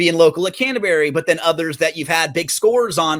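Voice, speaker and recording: This man has a plain, everyday voice at a fairly high pitch. He talks at a fairly quick pace in a very clean recording with a silent background. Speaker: podcast host. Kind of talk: podcast host interview questions.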